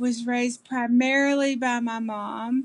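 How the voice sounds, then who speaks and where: In a Kentucky accent, a woman speaks at a very slow pace with a fairly high pitch and flat, monotone intonation. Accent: Kentucky Southern American. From US South, southeastern Kentucky. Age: 40s. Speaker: interviewee. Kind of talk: interview. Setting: video call. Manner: halting, many fillers.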